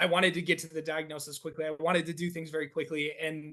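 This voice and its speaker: With an American accent, a man talks at a very fast pace in a high pitch with a bright, sharp tone. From northeast Wisconsin. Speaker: athletic training professor and researcher. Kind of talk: podcast interview.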